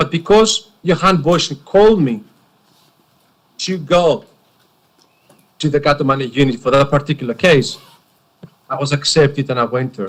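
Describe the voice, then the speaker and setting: A somewhat breathy man, fairly high in pitch with ordinary pitch variation, at a moderate pace with long, frequent pauses. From Greece. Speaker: witness at a public inquiry. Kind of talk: testimony.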